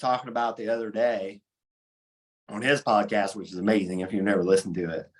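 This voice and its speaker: He speaks with an Appalachian accent at a fairly quick pace. The man's pitch sits fairly low. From southern Ohio, Appalachian region. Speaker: sports podcast host. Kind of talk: casual chat.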